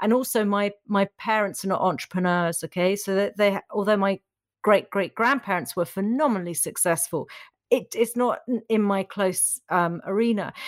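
In a very clean recording with a silent background and a dry, close sound with no echo, a woman uses a normal speaking voice at a moderate pace with ordinary pitch variation. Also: medium pitch for a woman. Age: 50s. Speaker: entrepreneur and podcast host. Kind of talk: interview.

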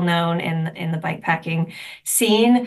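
Her pitch sits fairly low for a woman and moves with ordinary variation. She has an unremarkable speaking voice. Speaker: nonprofit executive director. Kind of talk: sponsor segment interview.

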